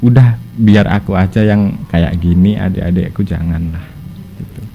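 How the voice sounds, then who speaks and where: With a Javanese accent, a man of very deep, low pitch speaks with ordinary pitch variation over noticeable background noise. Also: moderate pace. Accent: Javanese-tinged Indonesian. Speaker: former student organization officer. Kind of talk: podcast interview, advice. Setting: studio podcast.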